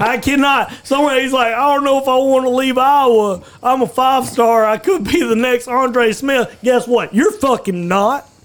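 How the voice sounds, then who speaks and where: With an Alabama accent, a man speaks at an extremely high pitch and a moderate pace, with ordinary pitch variation and hardly any pauses. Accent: Southern US (Alabama). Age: 20s. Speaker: podcast host. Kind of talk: casual chat. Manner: animated.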